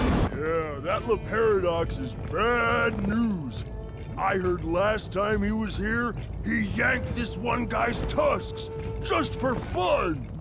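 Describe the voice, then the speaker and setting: A man uses a put-on character voice at a very slow pace. Loud background noise fills the recording. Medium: machinima.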